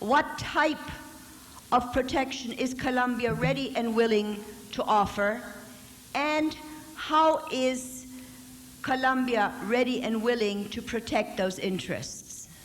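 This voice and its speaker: At a very slow pace, a woman with a high pitch speaks with long, frequent pauses, amid noticeable background noise and audible room echo. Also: ordinary pitch variation. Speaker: audience member. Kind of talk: audience question.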